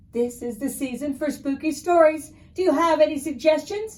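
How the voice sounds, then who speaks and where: Using a put-on character voice, a woman projects a raised, high-pitched voice at a moderate pace with ordinary pitch variation. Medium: read story.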